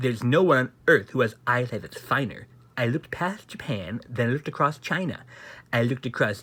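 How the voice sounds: The clip features a natural reading voice.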